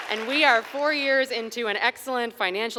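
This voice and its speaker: Crowd noise fills the background as a woman speaks. Her pace is moderate and her pitch variation ordinary. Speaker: storyteller. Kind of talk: live storytelling performance. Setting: live venue with audience. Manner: animated, conversational.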